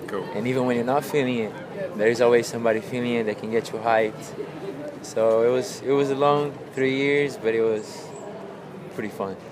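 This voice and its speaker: A man with a Portuguese accent speaks at a fairly quick pace with ordinary pitch variation. Audible room echo and noticeable background noise fill the recording. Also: medium pitch for a man. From Brazil, São Paulo. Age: 30s. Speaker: pro skateboarder. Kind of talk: interview.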